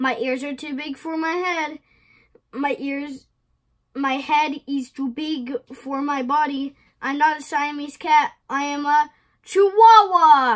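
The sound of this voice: A woman puts on a character voice with a Spanish accent, pitched high. She speaks at a fairly slow pace.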